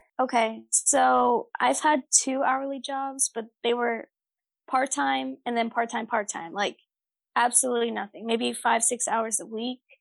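A woman with an unremarkable speaking voice, fairly high pitch and ordinary pitch variation at a fairly slow pace, against a quiet background. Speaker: restaurant server. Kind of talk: casual chat.

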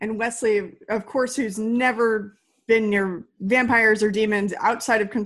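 This is plain reading aloud with fairly even intonation. The background is quiet.

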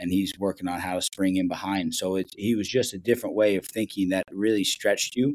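A fairly quick, nearly pauseless delivery in a Midwestern accent, with fairly even intonation and a dry, close sound free of echo. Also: man, fairly low pitch for a man. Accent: General American (Midwest). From Ohio, US Midwest. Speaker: professional soccer head coach. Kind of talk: casual interview chat.

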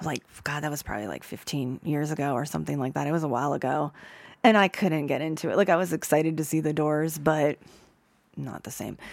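With an American accent, a woman speaks very fast in a very deep, low voice with ordinary pitch variation. The recording is very clean, the background silent. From Ohio, Youngstown. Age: 50s. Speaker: concert photographer. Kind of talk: casual interview.

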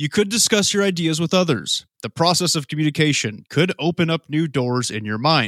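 Using a normal speaking voice, a man with an American accent talks at a moderate pace with lively intonation, the sound dry and close with no echo. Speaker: podcast co-host. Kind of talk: casual chat.

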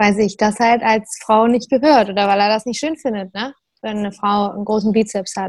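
A woman with an ordinary speaking voice keeps a moderate pace, her pitch fairly high and her intonation fairly even. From northern Germany, Lower Saxony near Hamburg. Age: 20s. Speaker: CrossFit athlete. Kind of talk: casual chat.

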